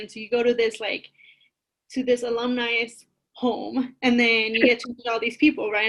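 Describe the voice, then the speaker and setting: Fairly quick speech from a woman with a Spanish accent and a high pitch. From East Los Angeles, US. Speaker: college advisor. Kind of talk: podcast interview.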